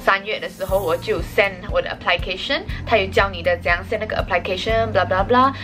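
A woman at a fairly quick pace over clear music in the background. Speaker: vlogger. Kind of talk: casual vlog chat. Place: home room. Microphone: phone near.

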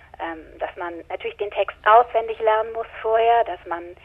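Here is a woman with a plain, everyday voice at a medium pitch. She talks at a moderate pace with ordinary pitch variation. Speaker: audiobook narrator and actress. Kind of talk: interview answer. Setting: phone line.

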